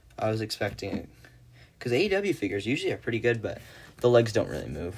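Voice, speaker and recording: Using lively intonation and vocal fry, a man at medium pitch talks at a very fast pace. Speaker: live streamer, action figure customizer. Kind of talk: casual livestream chat. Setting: live stream.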